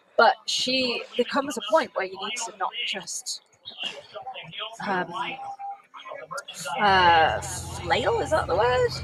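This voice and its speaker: With a British accent and music in the background, a woman speaks very slowly in a high voice, using long, frequent pauses, very wide pitch swings and big swings in loudness. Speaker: race commentator. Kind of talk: live commentary.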